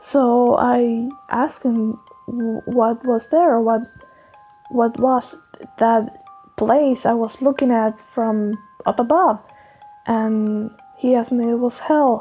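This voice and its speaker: A woman's fairly high voice at a very slow pace, fairly even in intonation, with long, frequent pauses and music in the background. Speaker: artist. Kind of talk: unscripted storytelling voiceover. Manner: casual, rambling.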